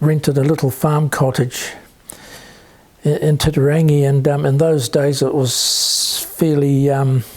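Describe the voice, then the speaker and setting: Speaking with a New Zealand accent, a man with a fairly high pitch talks at a fairly slow pace in a monotone, flat delivery of very even loudness, with noticeable background noise. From New Zealand (Auckland area). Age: 70s. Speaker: interviewee, son of Polish immigrant. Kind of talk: interview. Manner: halting, stammering; many fillers (um, yeah).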